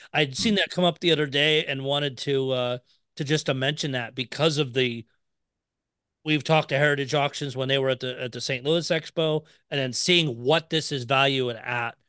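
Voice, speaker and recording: A man with a fairly high pitch speaks at a moderate pace with fairly even intonation in an unremarkable speaking voice. The background is quiet, and the sound is dry and close with no echo. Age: 40s. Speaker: podcast host. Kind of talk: casual chat.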